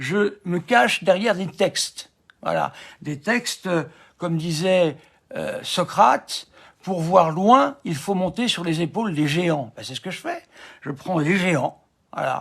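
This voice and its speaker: A high-pitched man speaks at a very slow pace with ordinary pitch variation. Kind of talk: live stream commentary. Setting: live stream. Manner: hesitant, many fillers.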